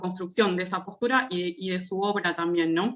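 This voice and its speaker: Here is a woman with a normal speaking voice. Her pace is moderate and her pitch variation ordinary. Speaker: academic researcher. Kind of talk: academic presentation.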